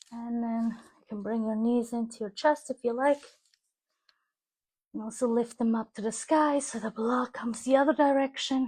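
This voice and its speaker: Calm in tone, a woman with a fairly high pitch speaks at a moderate pace with fairly even intonation and long, frequent pauses. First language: German. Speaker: yoga teacher. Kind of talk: guided yoga class. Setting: live stream.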